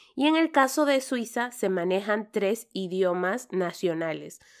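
A woman's normal speaking voice, medium in pitch, with lively intonation at a fairly slow pace on a very clean recording with a silent background. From Peru. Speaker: nurse and podcast host. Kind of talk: interview podcast.

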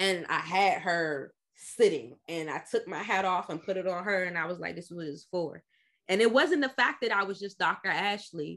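Against a quiet background, a woman talks in an unremarkable speaking voice at medium pitch. Her pace is moderate, with ordinary pitch variation. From Washington, D.C. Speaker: psychologist and mental health advocate. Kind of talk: podcast interview.

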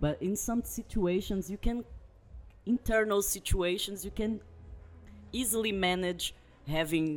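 The speaker has a Portuguese accent and lively intonation. The pace is fairly slow. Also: man. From Brazil. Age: 20s. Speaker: guest. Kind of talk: casual chat. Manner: halting.

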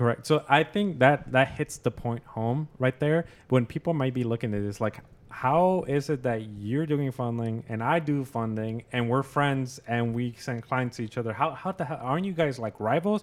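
A man's plain, everyday voice at medium pitch, moderate pace and hardly any pauses, with ordinary pitch variation on a very clean recording against a silent background. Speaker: podcast host and credit repair specialist. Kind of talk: casual interview chat. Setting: studio with cameras.

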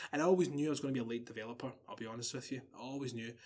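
This man talks with a Glaswegian accent. His pitch sits in the middle range. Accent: Glaswegian Scottish. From Scotland, Glasgow. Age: 20s. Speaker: podcast guest. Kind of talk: casual chat.

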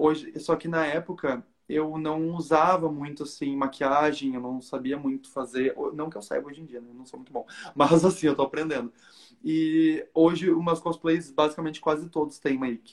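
A man speaks at a moderate pace with a fairly high pitch. It is a plain, everyday voice, with big swings in loudness. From southern Brazil, Porto Alegre. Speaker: cosplayer. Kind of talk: casual chat.

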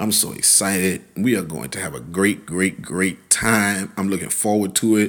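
The voice has vocal fry and an animated tone, with ordinary pitch variation at a moderate pace and hardly any pauses. The recording is very clean, with a silent background. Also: man, fairly low pitch for a man. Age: 40s. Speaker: podcast host and pastor. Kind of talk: podcast sermon.

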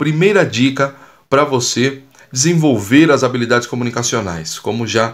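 Keeping a moderate pace, a man talks with ordinary pitch variation. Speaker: communication and public speaking coach. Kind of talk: poet reading cordel-style rhymed verses aloud, then casual coaching talk. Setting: podcast, solo monologue. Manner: animated, encouraging, didactic.

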